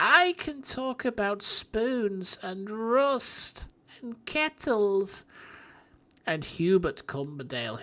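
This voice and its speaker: A female-sounding voice at medium pitch puts on a character voice and speaks very slowly. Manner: slow, slightly drawn out.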